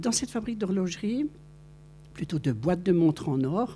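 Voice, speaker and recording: A woman talks at a moderate pace in a fairly low, dark, mellow voice with vocal fry. Her intonation is lively. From France, Vosges. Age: 70s. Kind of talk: testimony. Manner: animated storytelling.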